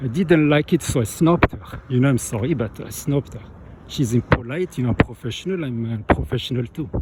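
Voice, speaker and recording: A man with a French accent at medium pitch, lively intonation, a fairly quick pace and big swings in loudness. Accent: French accent, noticeable. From France. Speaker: vlogger. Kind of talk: casual monologue. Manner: halting.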